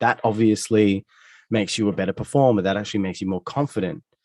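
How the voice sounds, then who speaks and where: In a dry, close recording with no echo, a man with an Australian accent talks very fast at a fairly low pitch. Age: 30s. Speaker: musician. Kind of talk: interview conversation. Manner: halting, many self-corrections.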